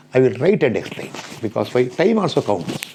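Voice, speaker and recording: At a fairly quick pace, a man talks with very wide pitch swings amid noticeable background noise and audible room echo. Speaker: engineering lecturer. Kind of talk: lecture.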